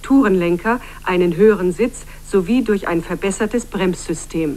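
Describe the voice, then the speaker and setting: With lively intonation and a moderate pace, this woman talks in a normal speaking voice. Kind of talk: TV news report narration.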